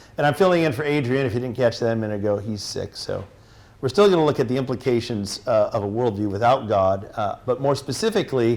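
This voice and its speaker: Speaking with a General American accent, a man goes at a fairly quick pace in a medium pitch with ordinary pitch variation. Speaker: teacher and apologetics speaker. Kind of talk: lecture. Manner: fast; animated.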